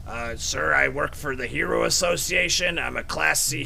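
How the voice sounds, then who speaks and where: A man speaks at a moderate pace in a put-on character voice. Background noise is clear. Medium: game stream. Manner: polite, hesitant, earnest.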